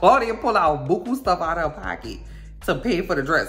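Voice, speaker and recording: Fairly quick talking with lively intonation, noticeable background noise and audible room echo. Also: woman. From New Orleans, Louisiana. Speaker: TV recap youtuber. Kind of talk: casual recap monologue. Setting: at home in bed. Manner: animated.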